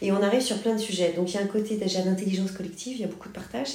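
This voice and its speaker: An energetic woman talks at a very fast pace with ordinary pitch variation, and audible room echo surrounds her voice. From Paris, France. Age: 40s. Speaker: company founder. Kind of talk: interview.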